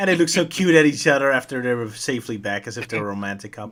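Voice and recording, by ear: A natural voice reads aloud here, its intonation lively.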